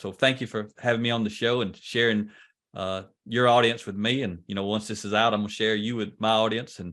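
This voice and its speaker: A man with a Southern US accent has a fairly low voice and monotone, flat intonation. His pace is fairly quick. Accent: Southern US country. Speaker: leadership trainer. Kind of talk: podcast interview.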